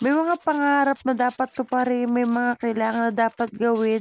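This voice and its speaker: A woman speaks at a moderate pace in a high voice with lively intonation, recorded dry and close with no echo over noticeable background noise. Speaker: vlogger. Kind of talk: vlog voice-over narration.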